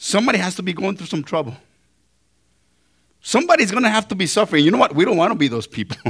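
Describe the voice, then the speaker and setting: With a non-native accent, a man speaks very fast at a high pitch, his voice making very wide pitch swings between long, frequent pauses. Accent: foreign accent, noticeable. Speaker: pastor. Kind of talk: sermon.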